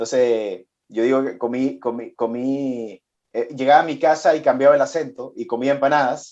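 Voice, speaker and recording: The speaker has a Venezuelan accent. Pitch variation is ordinary. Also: man, medium pitch for a man, moderate pace. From Venezuela, Chilean immigrant family. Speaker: business executive. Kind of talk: interview. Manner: halting, many repetitions.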